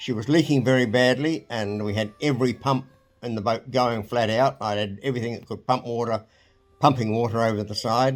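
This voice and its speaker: A man with a New Zealand accent at a fairly quick pace. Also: medium pitch for a man, fairly even intonation. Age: 80s+. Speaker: retired marine engineer. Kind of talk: interview storytelling. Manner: halting.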